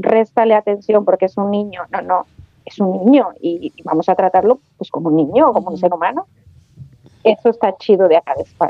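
A woman at a fairly quick pace with music in the background. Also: medium pitch for a woman, ordinary pitch variation. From Mexico, Aguascalientes. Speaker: mother abroad. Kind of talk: casual chat.

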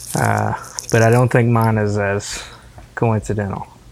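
Through noticeable background noise, a man talks at a moderate pace with a fairly low pitch and fairly even intonation. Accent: Southern US. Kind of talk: casual chat.

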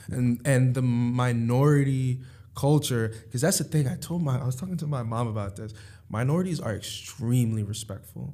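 This man's voice sits at a medium pitch with a dark, mellow tone. He sounds somewhat breathy, with ordinary pitch variation. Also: moderate pace. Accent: New York. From New York (Harlem and Long Island). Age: 20s. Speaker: finance professional. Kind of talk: casual chat.

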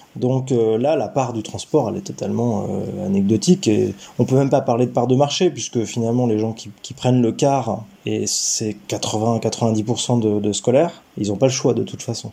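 Amid noticeable background noise, a man speaks at a medium pitch with ordinary pitch variation. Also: moderate pace, hardly any pauses. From France, Gâtinais countryside south of Paris. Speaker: local government mobility director. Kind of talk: interview. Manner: halting, frequent repetitions.

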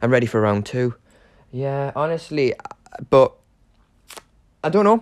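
This man speaks with a Geordie accent. His pitch swings very widely. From northern England, Newcastle upon Tyne. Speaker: podcast host, acting student. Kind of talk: casual monologue. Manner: hesitant, many fillers.

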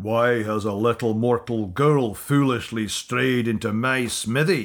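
A man puts on a booming, resonant character voice at medium pitch. He speaks at a fairly slow pace. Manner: booming, imposing.

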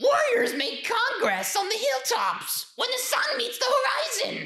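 An extremely high-pitched, put-on character voice. It moves at a moderate pace. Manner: shouting.

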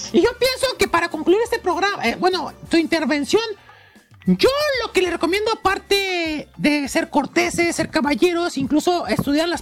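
Speaking with a Mexican accent in an animated tone at a moderate pace, the voice carries over music in the background. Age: 20s. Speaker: podcast host. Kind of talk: casual chat.

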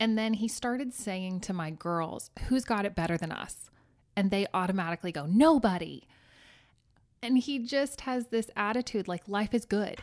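Very clean, with a silent background, this recording has a woman in a plain, everyday voice. Her pitch is medium, her intonation lively, and her pace moderate. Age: 30s. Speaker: small business owner. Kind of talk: casual chat.

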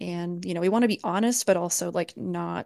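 Her fairly low-pitched voice moves at a fairly quick pace. The woman is recorded with a dry, close sound with no echo against a quiet background. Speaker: game artist. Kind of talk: casual interview chat. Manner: animated, chatty.

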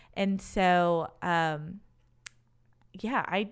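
This woman speaks with an American accent, using a fairly low pitch and fairly even intonation. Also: very clean recording, silent background. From Wisconsin, US; Racine, Wisconsin. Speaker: former college dance team member, HR professional. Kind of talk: casual interview chat.

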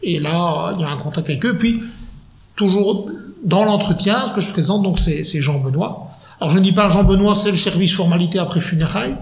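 Moderate pace and ordinary pitch variation, with audible room echo and noticeable background noise. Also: man, high pitch for a man. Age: 40s. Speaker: funeral advisor. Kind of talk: interview.

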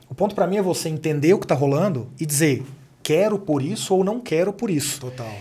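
A man with a dark, mellow tone speaks at a very fast pace in a fairly high pitch for a man. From Brazil, Minas Gerais (Uberaba). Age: 30s. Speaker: executive and author. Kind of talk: casual interview.

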